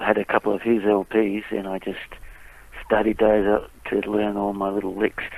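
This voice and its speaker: A man with an Australian accent, fairly low in pitch, monotone and flat, at a moderate pace over noticeable background noise. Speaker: blues musician. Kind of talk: interview.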